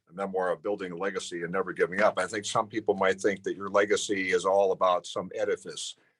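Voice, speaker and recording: A man with an American accent and a normal speaking voice talks fairly quickly at a fairly low pitch, with fairly even intonation. The sound is dry and close with no echo, over a quiet background. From Illinois. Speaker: radio talk show host. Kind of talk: interview host questions.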